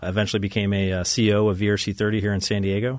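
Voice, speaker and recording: A man with an American accent talks at a very fast pace in a fairly low, monotone, flat voice, on a very clean recording with a silent background. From upstate New York, Ithaca. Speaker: naval aviator, wing commander. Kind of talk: interview. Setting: studio.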